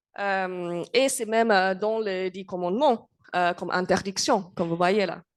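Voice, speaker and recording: With a non-native accent, a woman talks in a medium pitch. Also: ordinary pitch variation, fairly slow pace, quiet background. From England. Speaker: university lecturer. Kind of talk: lecture. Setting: conference with audience. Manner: halting, many hesitations.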